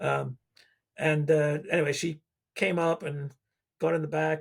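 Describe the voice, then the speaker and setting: Over a silent background in a very clean recording, a man speaks in a somewhat breathy, monotone, flat voice. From England. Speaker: retired coast guard pilot. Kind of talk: podcast interview storytelling. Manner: casual, with many fillers and restarts.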